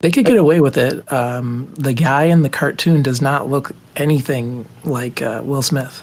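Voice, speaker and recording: Fairly high in pitch with fairly even intonation, a man speaks in a plain, everyday voice. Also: moderate pace. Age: 30s. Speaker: podcast co-host. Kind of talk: casual chat.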